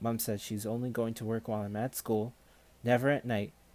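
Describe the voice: The text is read out plainly.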